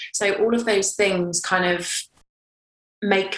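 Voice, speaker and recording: Talking at a fairly slow pace, a woman speaks with a British accent. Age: 20s. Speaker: model and campaigner. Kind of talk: interview.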